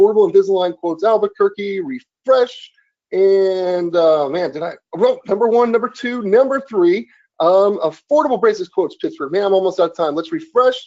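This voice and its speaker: With lively intonation, a high-pitched man speaks at a fairly quick pace. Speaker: online marketing webinar host. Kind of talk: live webinar demonstration. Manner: fast; animated.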